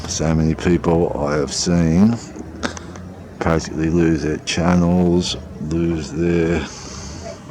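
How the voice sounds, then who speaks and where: Spoken at a very slow pace in a monotone, flat delivery with a slight Australian accent, the voice carries audible room echo. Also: man. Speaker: sky-watching videographer. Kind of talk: casual live narration while filming. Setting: outdoors on a balcony. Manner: rambling, hesitant with fillers.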